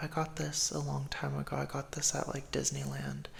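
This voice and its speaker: A man talks in a soft-spoken way. His tone is calm. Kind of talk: ASMR affirmations video, casual talk to camera. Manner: soft-spoken, calm, comforting.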